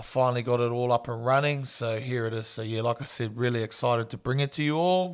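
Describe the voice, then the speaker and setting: A man's medium-pitched voice with a New Zealand accent, very fast and almost pauseless, with fairly even intonation. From New Zealand, small town. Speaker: strength and conditioning coach, podcast host. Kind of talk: solo podcast intro monologue. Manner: casual, relaxed.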